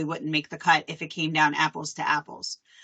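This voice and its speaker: A woman with a Philadelphia accent at a moderate pace. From Philadelphia, US. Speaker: association staff presenter. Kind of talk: live webinar presentation. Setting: video call.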